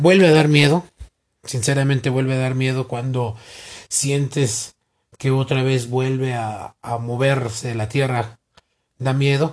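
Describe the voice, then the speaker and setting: This man's voice is somewhat breathy. It sits fairly high. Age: 40s. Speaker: interviewee, earthquake survivor. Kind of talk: interview.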